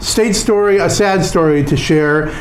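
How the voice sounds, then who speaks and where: Amid noticeable background noise and audible room echo, a man speaks with an American accent. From Southern California. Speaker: podcast host. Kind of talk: news commentary. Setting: studio. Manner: fast.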